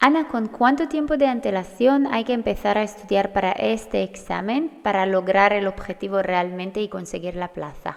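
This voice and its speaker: Keeping a moderate pace with hardly any pauses, a woman talks at a medium pitch with lively intonation. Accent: non-native. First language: not Spanish (speaking Spanish). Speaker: midwife and podcast host. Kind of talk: podcast interview.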